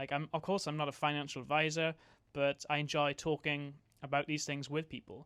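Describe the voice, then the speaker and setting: A man with an American accent, a fairly high pitch, a bright, sharp tone and a moderate pace, on a very clean recording with a silent background. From Wales. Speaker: YouTuber, podcast host. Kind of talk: casual conversation. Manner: hesitant, many fillers.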